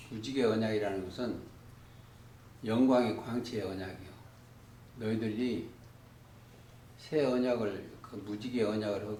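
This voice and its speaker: Speaking very slowly in a fairly low pitch with fairly even intonation, a man is heard over noticeable background noise and audible room echo. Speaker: bible teacher. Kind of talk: bible study lecture.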